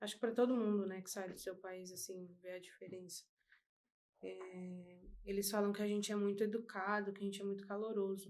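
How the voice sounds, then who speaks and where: A woman's medium-pitched voice at a fairly quick pace, monotone and flat in intonation, with big swings in loudness. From Brazil. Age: 20s. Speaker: body piercer. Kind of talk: casual interview chat.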